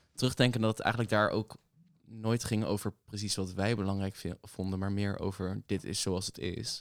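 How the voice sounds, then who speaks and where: A man's fairly low, monotone voice with flat intonation at a moderate pace, on a very clean recording with a silent background. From The Hague, Netherlands. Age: 20s. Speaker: barista and youth activist. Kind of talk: casual chat.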